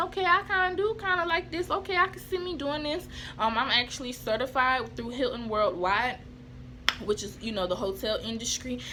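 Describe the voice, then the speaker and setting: A woman's raised, projected, high-pitched voice at a fairly quick pace with very wide pitch swings, over noticeable background noise. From US Southeast, small town. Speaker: vlogger. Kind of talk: casual storytelling vlog. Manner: fast; animated.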